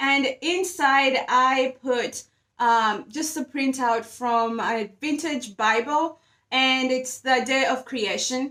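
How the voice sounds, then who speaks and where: A woman speaks at a very slow pace in a raised, projected voice. Her tone is bright and sharp, and her pitch is high. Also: ordinary pitch variation. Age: 30s. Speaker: DIY home decor maker and vlogger. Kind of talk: casual tutorial vlog. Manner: animated.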